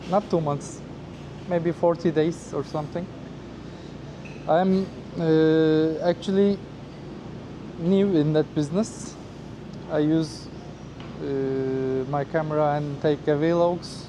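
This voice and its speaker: A man with a fairly high voice speaks in a flat monotone at a very slow pace, leaving long, frequent pauses over noticeable background noise. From Turkey. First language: Turkish. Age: 30s. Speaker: former flight attendant, travel vlogger. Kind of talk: casual interview. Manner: halting, with many hesitations.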